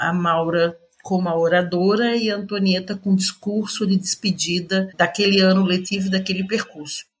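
A woman speaks at a moderate pace and a medium pitch. Her voice is somewhat breathy, with fairly even intonation. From Brazil, Florianópolis (Santa Catarina). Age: 60s. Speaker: educator and author. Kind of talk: interview.

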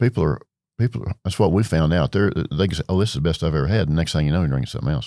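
In a West Texas accent, a man talks in a very deep, low voice with a dark, mellow tone. His pitch varies in an ordinary way, and the recording is very clean with a silent background. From Texas Panhandle. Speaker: retired beverage distribution executive. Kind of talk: interview. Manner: halting, many fillers.

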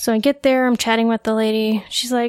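In a dry, close sound with no echo, a woman with a normal speaking voice talks fairly quickly at a fairly high pitch. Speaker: pharmacy technician. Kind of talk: casual interview.

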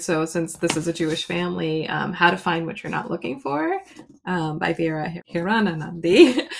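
Against noticeable background noise, a woman talks at a fairly quick pace in a fairly low voice. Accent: American. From US. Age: around 50. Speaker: children's book author. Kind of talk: casual chat.

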